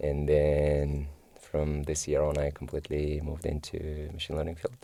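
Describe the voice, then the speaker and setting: A man's very deep, low voice in a dark, mellow tone, monotone and flat, with a Kyrgyz accent. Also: moderate pace. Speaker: machine learning engineer. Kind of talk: interview. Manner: hesitant, many fillers.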